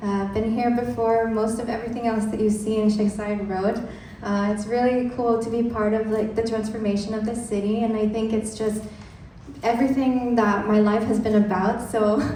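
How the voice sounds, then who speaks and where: A woman's monotone, flat delivery at a moderate pace, with audible room echo and noticeable background noise. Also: fairly high pitch for a woman. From Dubai, third culture kid. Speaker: content designer. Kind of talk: conference talk.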